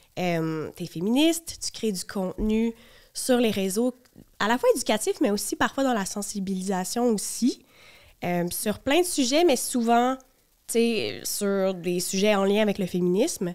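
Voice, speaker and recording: A woman's fairly high voice in a Quebec accent, with lively intonation at a fairly slow pace, on a very clean recording with a silent background. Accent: Québécois French. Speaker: podcast host. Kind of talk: casual chat.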